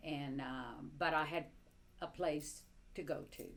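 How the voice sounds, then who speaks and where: Her voice very deep and low, a woman talks at a fairly slow pace with audible room echo. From Cuba, Havana. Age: 70s. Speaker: interviewee recounting life under communism. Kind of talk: personal testimony interview. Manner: halting, many fillers.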